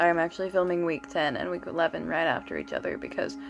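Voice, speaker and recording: A woman talking at a very fast pace over background music. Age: young. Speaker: student on gap year. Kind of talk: casual vlog talk to camera.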